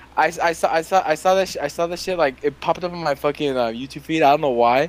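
A man speaks at a fairly high pitch with ordinary variation. His is a plain, everyday voice. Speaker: podcast host. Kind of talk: casual banter, comedic chat. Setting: home studio, lying in a chair. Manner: joking, loud, rowdy.

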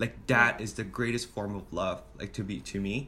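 A man is speaking here. The tone of his voice is bright and sharp. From Hong Kong. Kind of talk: casual chat.

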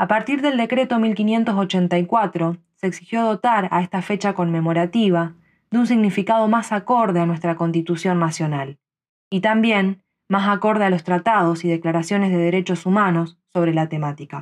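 Against a quiet background, a woman with a Rioplatense accent talks at a moderate pace with very even loudness and ordinary pitch variation. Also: medium pitch for a woman. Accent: Argentine Rioplatense Spanish. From Rosario, Argentina. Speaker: podcast commentator. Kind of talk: scripted narration.

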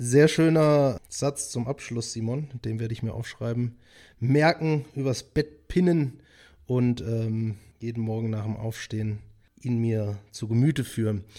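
In an unremarkable speaking voice, a man talks at a fairly slow pace with a medium pitch and ordinary pitch variation. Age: 30s. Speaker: podcast host. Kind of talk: casual interview chat.

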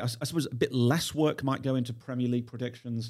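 A man's voice has a dark, mellow tone. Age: 50s. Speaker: YouTuber, former finance executive. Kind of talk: podcast interview.

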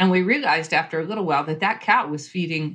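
Against a quiet background, a woman with a plain, everyday voice talks at a fairly quick pace, her fairly low pitch showing ordinary variation. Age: 50s. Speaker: homesteader and author. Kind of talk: casual interview.

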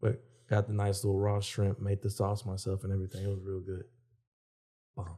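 A man speaks at a fairly quick pace with a fairly low pitch, his dark, mellow tone somewhat breathy and his intonation flat and monotone. Long pauses come often, and the recording is very clean with a silent background. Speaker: podcast co-host. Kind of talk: casual chat.

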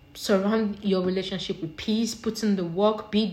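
Somewhat breathy, a woman speaks at a fairly slow pace in a fairly high pitch. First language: not English. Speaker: solo podcaster. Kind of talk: casual monologue. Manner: animated.

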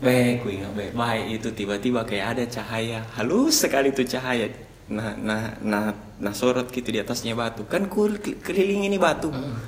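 A man at medium pitch, lively in intonation and moderate in pace, with audible room echo and noticeable background noise. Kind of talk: casual chat, horror storytelling.

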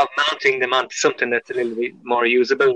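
A man talks with an Irish accent at a fairly quick pace. The sound is dry and close, with no echo. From Ireland. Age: 40s. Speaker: pinhole camera maker. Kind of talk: casual chat.

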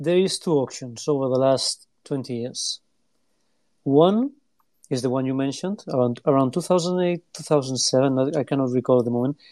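A man with a non-native accent talks at a moderate pace in a dark, mellow tone at a fairly high pitch, against a quiet background. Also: ordinary pitch variation. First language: not English. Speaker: retro computer collector. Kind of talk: casual chat. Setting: online audio room.

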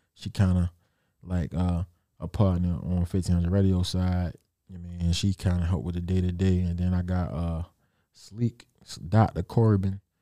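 In a dry, close sound with no echo, a man with a very deep, low pitch and a dark, mellow tone speaks at a fairly slow pace, with fairly even intonation and long, frequent pauses. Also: very clean recording, silent background. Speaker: radio station owner. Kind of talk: casual interview chat. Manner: casual, laid-back.

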